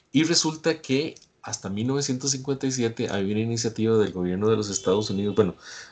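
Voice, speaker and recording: A man with a Costa Rican accent talks at a very fast pace, his medium pitch showing ordinary variation. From Costa Rica, Guanacaste. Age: 60s. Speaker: climate scientist presenter. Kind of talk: lecture. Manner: hesitant, many fillers.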